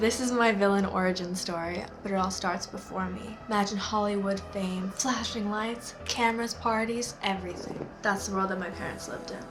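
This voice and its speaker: A woman talks at a moderate pace and medium pitch, with hardly any pauses. Her intonation is monotone and flat, and noticeable noise runs in the background. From North America, mixed (Canada, US, US South). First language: Spanish. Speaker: YouTuber. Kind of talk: personal storytelling monologue. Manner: casual, conversational.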